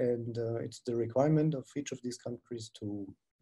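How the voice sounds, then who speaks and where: A somewhat breathy, dark and mellow tone with a German accent, ordinary pitch variation and a moderate pace. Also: man. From Germany, Bavaria region. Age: 60s. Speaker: dentist and implantologist. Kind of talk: webinar lecture.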